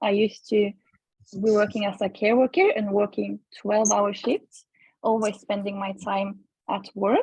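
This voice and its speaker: The voice is somewhat breathy and moves at a moderate pace. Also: woman. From Norway. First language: Norwegian. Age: 20s. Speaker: online entrepreneur. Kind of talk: group video call introduction.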